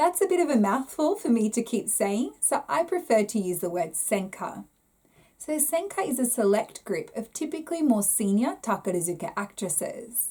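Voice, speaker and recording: The speaker has a strong Australian accent and a dark, mellow tone. The pitch swings very widely at a moderate pace. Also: woman, fairly high pitch for a woman. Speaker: YouTuber explaining Japanese theatre. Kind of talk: explanatory talk to camera.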